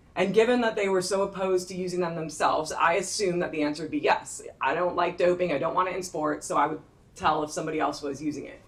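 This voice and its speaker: A woman with an American accent speaks at a very fast pace with hardly any pauses, in a fairly low pitch. Audible room echo and noticeable background noise surround her voice. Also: ordinary pitch variation. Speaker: sports social scientist. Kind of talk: conference presentation.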